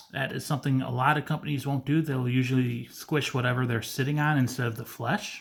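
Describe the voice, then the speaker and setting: A man talks at a very fast pace with hardly any pauses, his medium-pitched voice flat and monotone. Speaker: figure collector reviewer. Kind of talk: unboxing review. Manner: stuttering today; casual, conversational.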